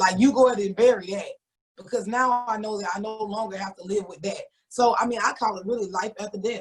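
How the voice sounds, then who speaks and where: At a very fast pace, a woman with a fairly high pitch speaks somewhat breathily, her intonation fairly even but her loudness swinging widely. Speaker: author. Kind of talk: interview.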